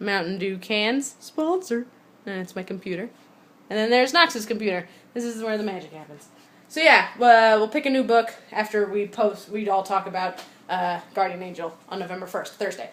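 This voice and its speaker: Animated in tone, a woman speaks at a medium pitch with ordinary pitch variation and big swings in loudness. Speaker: vlogger and online book club host. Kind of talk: casual vlog. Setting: at home. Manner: fast.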